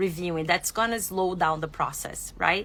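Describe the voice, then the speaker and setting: Her tone is bright and sharp. The woman's pitch shifts in an ordinary way. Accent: strong non-native. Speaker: exotic animal veterinarian. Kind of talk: live stream product review. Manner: casual, enthusiastic.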